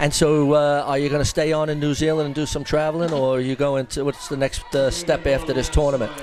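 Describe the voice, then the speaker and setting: A fairly high-pitched man at a very fast pace, monotone and flat, with hardly any pauses and noticeable background noise. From New York, US. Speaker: softball commentator interviewing players. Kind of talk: casual sideline interview.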